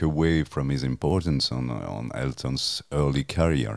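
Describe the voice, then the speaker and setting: A man speaks with a French accent at a fairly slow pace. His pitch is very deep and low, with ordinary variation. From France. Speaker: music journalist and author. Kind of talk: interview. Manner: halting, hesitant, many fillers.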